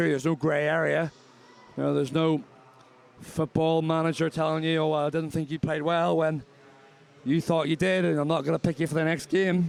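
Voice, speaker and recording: A man's fairly high voice with a Northern Irish accent, fairly quick in pace yet broken by long, frequent pauses, with fairly even intonation. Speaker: swimming commentator. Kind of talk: live commentary. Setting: aquatic centre commentary position. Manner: conversational.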